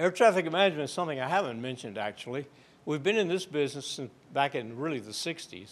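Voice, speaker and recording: A fairly high-pitched man in a Virginia accent, very fast and with lively intonation. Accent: Virginia lilt. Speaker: aeronautical research engineer. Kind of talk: lecture presentation.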